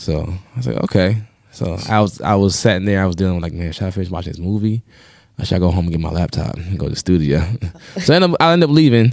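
Someone talks at a very fast pace in a New York accent. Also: man, very deep, low pitch for a man, ordinary pitch variation. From Long Island, New York. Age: 30s. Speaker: DJ. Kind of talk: casual chat.

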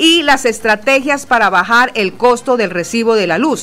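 Fairly slow speech from a woman with a fairly high pitch, amid noticeable background noise. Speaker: radio news co-host. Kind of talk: news reading. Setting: studio.

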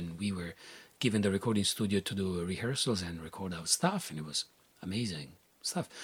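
Lively in intonation, a man with an Italian accent speaks on a very clean recording with a silent background. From Italy. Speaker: artist. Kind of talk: interview. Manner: halting.

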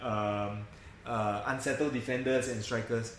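The speech moves at a moderate pace with audible room echo. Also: man. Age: 30s. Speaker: football fan podcast host. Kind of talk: casual chat.

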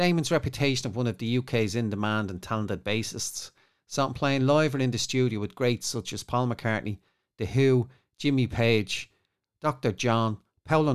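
The recording is very clean with a silent background, and a man speaks at a moderate pace in a plain, everyday voice. His pitch is medium, with ordinary variation. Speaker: podcast intro announcer. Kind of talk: scripted intro.

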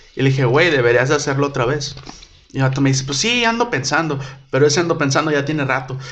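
Talking very fast, a man with a fairly high voice shows ordinary pitch variation. Noticeable background noise and audible room echo fill the recording. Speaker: podcast host and comedian. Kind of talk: casual chat.

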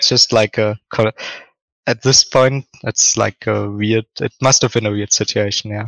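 Speaking at a fairly slow pace, a man talks with a German accent. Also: medium pitch for a man, fairly even intonation. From Germany, Ruhr area. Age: 20s. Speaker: esports analyst. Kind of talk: casual interview chat.

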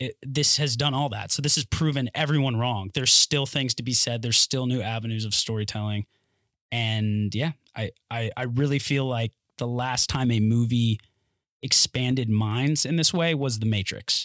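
On a very clean recording with a silent background and a dry, close sound with no echo, a man with a plain, everyday voice speaks at a medium pitch and moderate pace with fairly even intonation. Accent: American. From North Carolina. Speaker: actor. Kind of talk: casual chat. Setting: studio.

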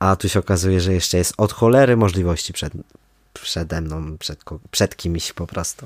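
In a very clean recording with a silent background and a dry, close sound free of echo, a man with a very deep, low voice talks at a moderate pace with ordinary pitch variation. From Poland, Kraków (Nowa Huta). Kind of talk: casual interview. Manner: hesitant with many fillers.

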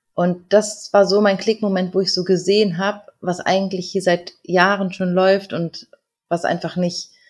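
A woman's somewhat breathy voice at a medium pitch. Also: big swings in loudness. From North Rhine-Westphalia, Germany. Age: 30s. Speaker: educator and life coach, single mother. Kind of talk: interview.

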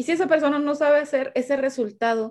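A woman at a moderate pace, with ordinary pitch variation, over a quiet background. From Sinaloa, Mexico. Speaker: sales coach and speaker. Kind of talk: interview. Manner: halting.

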